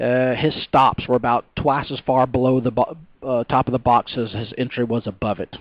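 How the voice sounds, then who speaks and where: Recorded with a dry, close sound and no echo, a man speaks at medium pitch in a Texas accent. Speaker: stock trader. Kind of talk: tutorial. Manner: halting, many fillers and repeats.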